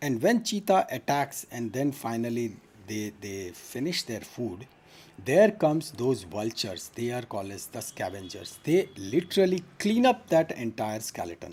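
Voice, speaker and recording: A somewhat breathy man's voice at a medium pitch and moderate pace, with very wide pitch swings and big swings in loudness. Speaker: medical teacher. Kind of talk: online lecture. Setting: live stream.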